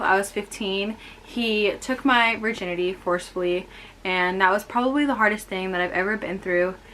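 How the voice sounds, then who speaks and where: With a Californian accent, a woman speaks at a moderate pace in fairly even intonation. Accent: American, Californian. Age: 20s. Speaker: vlogger. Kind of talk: personal testimony vlog. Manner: casual, with fillers.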